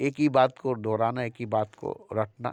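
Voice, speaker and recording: A man's flat, monotone delivery at a medium pitch. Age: 60s. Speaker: spiritual speaker. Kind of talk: spiritual talk. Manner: repetitive.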